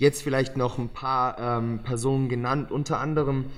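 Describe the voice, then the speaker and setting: Monotone, flat intonation at a fairly slow pace. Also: man. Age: young. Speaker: young author. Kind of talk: podcast interview.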